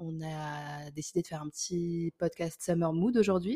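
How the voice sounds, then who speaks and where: Her voice is very deep and low-pitched with a dark, mellow tone and fairly even intonation, heard in a dry, close sound with no echo. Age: 20s. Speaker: podcast co-host. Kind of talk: casual chat.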